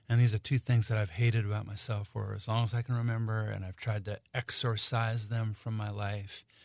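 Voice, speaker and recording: A man's medium-pitched, somewhat breathy voice at a moderate pace, on a very clean recording with a silent background. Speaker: singer-songwriter. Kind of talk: radio interview. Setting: radio studio. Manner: halting.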